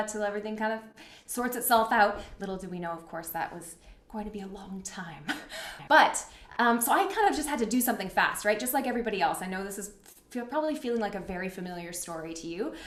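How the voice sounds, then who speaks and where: A woman talks at a very fast pace in an upbeat tone, with a medium pitch, lively intonation and big swings in loudness. Noticeable background noise runs underneath. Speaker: workshop facilitator. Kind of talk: live online talk. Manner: upbeat, casual.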